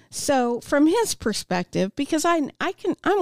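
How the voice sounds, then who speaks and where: A woman with a Midwestern US accent, her pitch swinging very widely. The recording is very clean with a silent background, and the sound is dry and close with no echo. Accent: US Midwest. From Kansas, Topeka. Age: 40s. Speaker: addiction recovery speaker. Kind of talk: interview testimony. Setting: studio.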